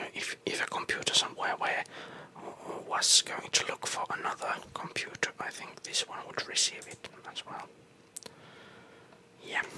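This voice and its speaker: Someone whispers in a relaxed tone at a moderate pace, leaving long, frequent pauses. Noticeable background noise runs underneath. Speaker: ASMR content creator / gamer. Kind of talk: whispered ASMR gameplay tour, rambling. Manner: whispered, soft, relaxed.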